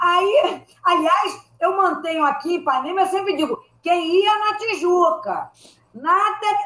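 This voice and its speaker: A woman projects her voice in a bright, sharp tone at an extremely high pitch, with lively intonation. She speaks very slowly, keeping her loudness very even. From Rio de Janeiro, Brazil. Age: old. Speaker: comedy writer. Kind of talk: casual chat.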